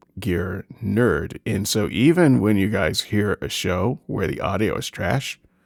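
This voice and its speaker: The voice carries vocal fry and very wide pitch swings. Its pace is fairly slow. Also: man, dry, close sound with no echo. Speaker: podcast co-host. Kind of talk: casual chat. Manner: halting. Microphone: high-end condenser studio mic.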